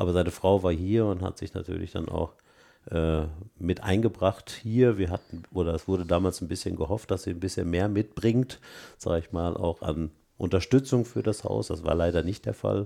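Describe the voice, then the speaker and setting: A man's very deep, low voice with a dark, mellow tone, ordinary pitch variation, and a moderate pace. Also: very clean recording, silent background. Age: 60s. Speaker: director of a holiday and education centre. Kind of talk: interview.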